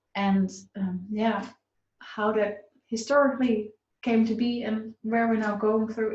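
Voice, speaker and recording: A woman speaks at a very slow pace with a Dutch accent. Her fairly high voice is somewhat breathy, with fairly even intonation. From Netherlands. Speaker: business coach. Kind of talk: live online talk. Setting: live stream. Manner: halting, many fillers.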